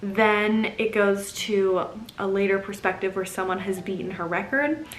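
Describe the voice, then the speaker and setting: A woman speaks at medium pitch and a moderate pace, with ordinary pitch variation. Noticeable background noise and audible room echo fill the recording. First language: German. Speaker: book vlogger. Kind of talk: casual book review vlog. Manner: animated.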